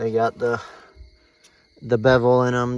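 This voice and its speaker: A man talks at a medium pitch and a moderate pace. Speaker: farmer restoring an old tractor. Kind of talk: casual workshop video tutorial. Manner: loud; casual, filler-heavy.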